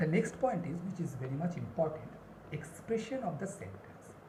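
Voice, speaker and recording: Noticeable background noise is present throughout. The talking goes at a moderate pace. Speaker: spoken English teacher. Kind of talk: lesson to camera.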